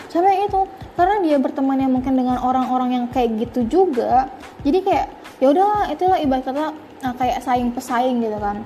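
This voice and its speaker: Music plays in the background as a woman talks fairly quickly. Her voice is high, with lively intonation. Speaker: podcast speaker. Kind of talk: casual talk on self-improvement. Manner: casual, filler-heavy.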